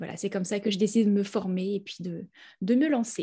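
A somewhat breathy woman's voice, medium in pitch, with fairly even intonation. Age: 30s. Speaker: naturopath. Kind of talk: interview.

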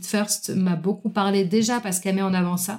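This woman speaks at medium pitch with a dark, mellow, somewhat breathy tone. Her intonation is monotone and flat, and her pace is moderate. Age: 30s. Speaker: self-employed entrepreneur and coach. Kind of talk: casual interview conversation.

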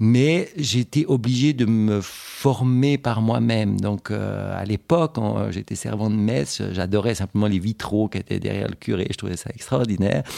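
A man's fairly low, dark, mellow voice with lively intonation at a fairly slow pace. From Switzerland, canton of Fribourg. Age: 40s. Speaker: independent gallery owner. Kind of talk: interview. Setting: at his home. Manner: hesitant, frequent fillers and repetitions.

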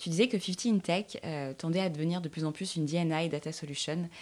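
A woman with an ordinary speaking voice talks fairly quickly, her fairly low pitch held to a fairly even intonation. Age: 30s. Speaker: podcast host. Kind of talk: scripted narration; interview.

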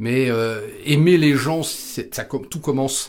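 Very slow speech from a man, pitched in the middle of his range, with ordinary pitch variation. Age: 50s. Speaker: sales trainer. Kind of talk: interview. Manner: hesitant, with many fillers.

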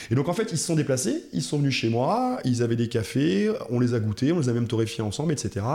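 Dark and mellow in tone, the speech proceeds at moderate speed, with pitch that shifts in an ordinary way. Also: man. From France, Alsace (Munster valley). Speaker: coffee roaster, former athlete and NGO director. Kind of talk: casual interview. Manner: halting, repeats words.

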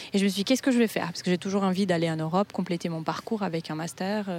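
This woman, with a Portuguese accent, has a fairly low pitch and ordinary pitch variation. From Brazil. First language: Portuguese (speaking French). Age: 30s. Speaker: Brazilian expat in Paris. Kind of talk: interview testimony. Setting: outdoors in a park. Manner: lively.

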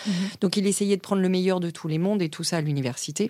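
Fairly even intonation in a dark, mellow woman's voice. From Africa (expat childhood), schooled in France. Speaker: corporate lawyer. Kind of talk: interview.

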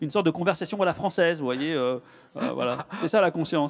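On a very clean recording with a silent background, a man with a high pitch talks at a very fast pace. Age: 50s. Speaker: neurologist. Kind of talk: public talk. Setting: stage with audience.

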